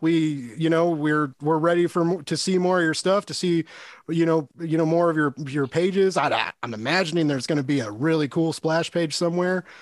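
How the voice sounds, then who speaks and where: A man with an American accent speaks at a high pitch and a moderate pace, his pitch varying in an ordinary way. The recording is very clean with a silent background. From US Midwest, Kansas City. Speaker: podcast host. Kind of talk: casual interview chat. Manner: animated.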